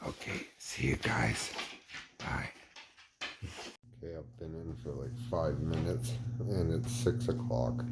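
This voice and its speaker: In a very deep, low voice full of vocal fry, a man talks fairly slowly with very wide pitch swings, and the room echo is audible. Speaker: outdoor gear vlogger. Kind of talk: casual vlog. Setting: outdoors in winter cold, then indoors. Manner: quiet, trying not to wake kids.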